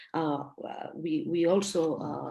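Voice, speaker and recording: Pitched fairly low for a woman, her voice carries a Spanish accent. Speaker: mentoring practitioner. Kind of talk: workshop discussion. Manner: halting.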